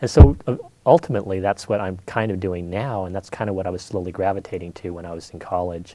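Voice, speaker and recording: A man with a Californian accent at a very fast pace, very deep and low in pitch, dark and mellow in tone, fairly even in intonation, with big swings in loudness. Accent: Californian American. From California, Monterey. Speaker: painter. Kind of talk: interview.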